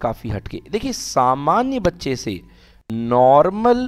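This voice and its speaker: A man has an ordinary speaking voice, fairly high in pitch, with lively intonation. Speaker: teacher. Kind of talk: online class lecture.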